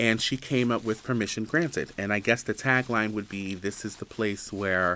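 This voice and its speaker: A man's fairly low voice with an American accent, bright and sharp in tone, fairly even in intonation, at a moderate pace with hardly any pauses. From New Jersey, Jersey City. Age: 30s. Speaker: podcast host, college student. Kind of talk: casual personal monologue. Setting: campus building studio.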